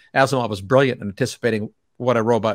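In a very clean recording with a silent background and a dry, close sound with no echo, a man at medium pitch talks at a very fast pace with fairly even intonation. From Canada. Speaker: physicist and energy writer. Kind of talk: interview. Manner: laughs often.

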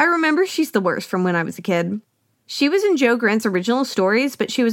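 The background is free of noise. A natural reading voice is heard.

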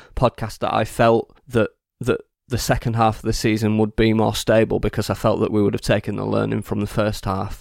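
The sound is dry and close with no echo. A man speaks at medium pitch and a moderate pace. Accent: English. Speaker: football podcast panelist. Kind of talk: casual chat. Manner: laughs often.

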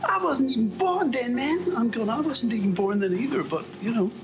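A man's voice with very wide pitch swings, over noticeable background noise. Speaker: vlogger walking on treadmill. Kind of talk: casual monologue. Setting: indoors on a treadmill. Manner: fast.

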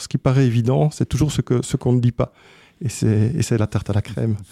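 Recorded very cleanly against a silent background with a dry, close sound and no echo, a man talks at a fairly quick pace in a medium pitch, with ordinary pitch variation and a dark, mellow tone. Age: 40s. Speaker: sound engineer and business owner. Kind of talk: interview. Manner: hesitant with fillers.

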